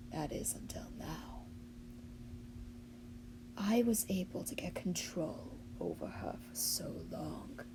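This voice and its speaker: A raspy put-on character voice moves at a fairly slow pace with long, frequent pauses. Loud background noise fills the recording. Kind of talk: character monologue. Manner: haughty, boastful.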